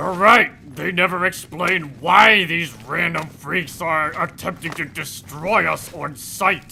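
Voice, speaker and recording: A man uses a put-on character voice pitched high. He goes at a fairly slow pace over clear background noise. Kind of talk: comedic let's play commentary in character. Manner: over-the-top, enthusiastic.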